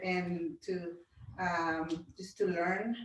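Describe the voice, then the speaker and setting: Speaking at a very slow pace, a woman with a Spanish accent uses a medium pitch with ordinary variation. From Honduras. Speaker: pastor's wife and direct sales distributor. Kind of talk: self-introduction at a group meeting.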